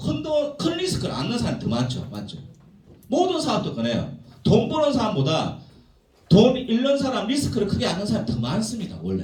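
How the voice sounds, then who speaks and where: A man speaks at a moderate pace with very wide pitch swings. Audible room echo and noticeable background noise are present. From South Korea, Gyeongsang (Jinju, South Gyeongsang). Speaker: business seminar speaker. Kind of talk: seminar lecture.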